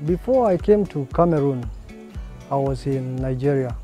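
With clear music in the background, a man speaks in fairly even intonation, the sound dry with no echo. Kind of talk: interview answer.

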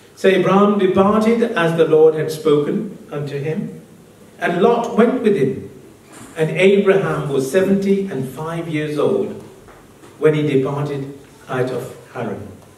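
With audible room echo, a man speaks at a fairly slow pace in a fairly high pitch and with lively intonation. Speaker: preacher. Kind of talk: sermon. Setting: church with congregation. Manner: animated, call-and-response preaching with an interpreter; code-switches between English, Hindi and Punjabi. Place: church.

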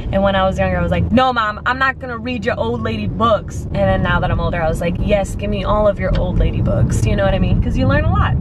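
Very fast speech from a woman with hardly any pauses, a dry sound with no echo and loud background noise. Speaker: vlogger. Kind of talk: casual vlog chat. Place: car. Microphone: phone near.

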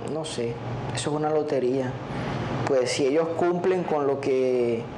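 A man's fairly high, fairly even voice at a fairly slow pace, with noticeable background noise. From La Guajira, Colombia. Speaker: relative of kidnapping victim. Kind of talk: interview answer. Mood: serious, thoughtful. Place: studio. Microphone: lapel.

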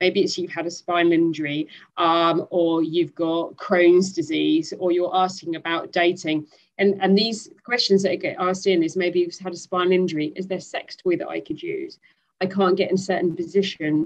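In a British accent, a woman speaks in a monotone, flat intonation at a moderate pace against a quiet background. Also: fairly low pitch for a woman. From UK. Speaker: speaker. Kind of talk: webinar panel discussion. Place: home room. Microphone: headset.

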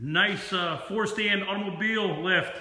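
The intonation stays fairly even at a fairly slow pace. Room echo is audible. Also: man. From Pennsylvania, USA. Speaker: auctioneer. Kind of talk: auction promotional announcement to camera. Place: shop. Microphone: phone near.

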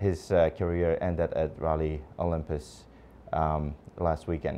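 The man's speech moves at a fairly slow pace. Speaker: TV show host. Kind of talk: broadcast host commentary. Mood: somber tribute tone. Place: studio. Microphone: lapel.

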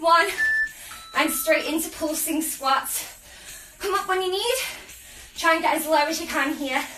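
A woman speaks in a raised, projected voice at a moderate pace with ordinary pitch variation. Noticeable background noise is present. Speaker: fitness instructor. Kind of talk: workout coaching. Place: home room. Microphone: camera far.

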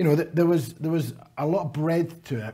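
A man talks in a dark, mellow tone. The background is quiet. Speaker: conference presenter. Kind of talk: conference speech. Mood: warm, lightly humorous. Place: hall.

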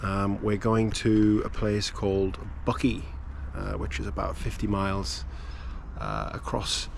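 The sound of this man's voice is dry with no echo, over light background noise. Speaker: sailing vlogger. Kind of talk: casual vlog chat. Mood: relaxed, mildly excited. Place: boat. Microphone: phone near.

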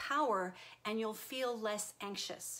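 The speaker has an American accent and a warm tone. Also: woman. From Texas. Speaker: self-help video host. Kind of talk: live-stream talk to viewers. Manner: warm, conversational. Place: home room. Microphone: webcam.

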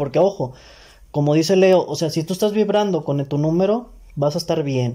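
Over a quiet background, a man with a dark, mellow tone speaks at a moderate pace with ordinary pitch variation. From Mexico. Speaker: podcast co-host. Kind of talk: casual chat. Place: home room. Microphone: camera far.

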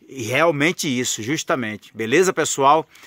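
Light background noise sits behind a man's medium-pitched voice, recorded dry with no echo. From Brazil. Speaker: trading analyst and course seller. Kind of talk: sales pitch. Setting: outdoors on a farm, under a tree. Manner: persuasive, urgent, chatty pitchman; folksy and friendly, deadline-driven. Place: garden. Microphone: phone near.

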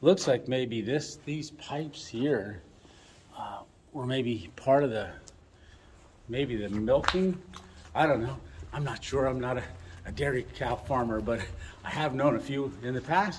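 A man at a fairly slow pace, with long, frequent pauses, ordinary pitch variation and light background noise. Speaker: explorer vlogger. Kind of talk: casual vlog chat. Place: open country. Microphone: phone near.

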